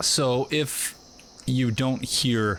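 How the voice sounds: A man speaks in a nasal voice with a fairly bright tone. His intonation is fairly even.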